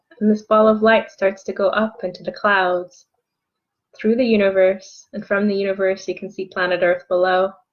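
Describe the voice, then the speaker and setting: With music in the background, a woman speaks with monotone, flat intonation. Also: medium pitch for a woman, moderate pace. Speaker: energy healing coach. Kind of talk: guided meditation. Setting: online video.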